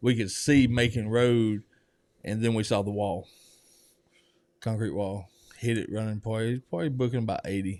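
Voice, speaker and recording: Speaking in a Southern US accent with a medium pitch, a man keeps his intonation fairly even and leaves long, frequent pauses. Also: moderate pace. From US South, Georgia. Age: 40s. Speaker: recovery program resident. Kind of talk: testimony interview. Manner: casual.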